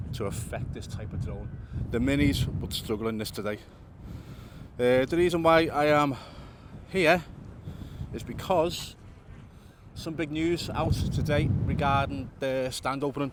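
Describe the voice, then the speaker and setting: The speaker uses ordinary pitch variation and leaves long, frequent pauses. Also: man, fairly high pitch for a man. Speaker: drone videographer and vlogger. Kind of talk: casual vlog commentary. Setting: outdoors. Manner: fast.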